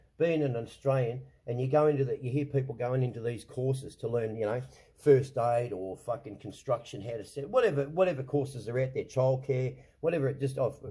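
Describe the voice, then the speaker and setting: The man talks at a fairly quick pace, his voice somewhat breathy with a dark, mellow tone. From Australia. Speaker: online show host. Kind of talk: casual rant. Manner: animated, swearing, repetitive stammering.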